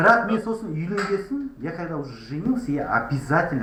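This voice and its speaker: Through noticeable background noise and audible room echo, a man speaks at a moderate pace with very wide pitch swings. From Kazakhstan, Kostanay. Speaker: language activist vlogger. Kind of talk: street interview.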